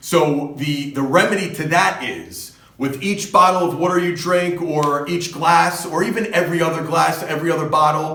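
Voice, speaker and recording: Through audible room echo and noticeable background noise, a man with a New Jersey accent talks at a high pitch and fairly slow pace with fairly even intonation. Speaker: fitness coach. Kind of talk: casual advice talk to camera.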